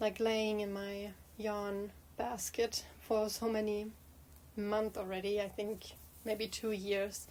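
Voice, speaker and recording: At a very slow pace, a woman speaks in a monotone, flat delivery at a medium pitch. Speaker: knitting vlogger. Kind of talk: casual chat. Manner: halting, many fillers.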